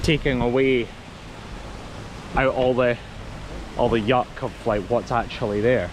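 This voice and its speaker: Noticeable background noise is present. A man with a Scottish accent speaks at a fairly slow pace, with long, frequent pauses. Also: very even loudness. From Scotland. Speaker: travel vlogger. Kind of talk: casual chat. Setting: outdoors.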